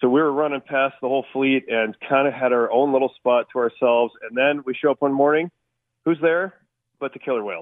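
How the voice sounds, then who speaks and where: A man at a fairly quick pace with ordinary pitch variation, a normal speaking voice. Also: medium pitch for a man. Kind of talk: casual chat.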